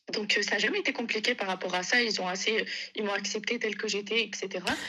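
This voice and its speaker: Her intonation fairly even, a woman speaks at a very fast pace with noticeable background noise behind her. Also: fairly high pitch for a woman. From northern France. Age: 20s. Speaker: caller. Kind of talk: testimony.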